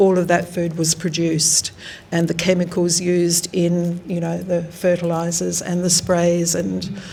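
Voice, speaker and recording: Against noticeable background noise, a woman with an Australian accent speaks fairly slowly in a fairly low, monotone voice with flat intonation. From South Australia, Riverland. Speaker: artist. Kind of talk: artist talk. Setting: gallery with audience. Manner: hesitant, many fillers.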